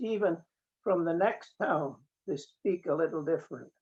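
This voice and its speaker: With a Scottish accent, a man speaks at a fairly quick pace in a high voice with ordinary pitch variation. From Scotland, Borders coast near Eyemouth. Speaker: mechanical engineer. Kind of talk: interview.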